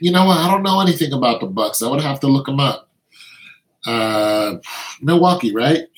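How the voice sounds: At a moderate pace, a man with a medium pitch and a slightly husky edge speaks with lively intonation.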